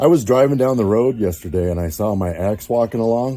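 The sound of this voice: A normal speaking voice from a man, fairly low in pitch, at a moderate pace with lively intonation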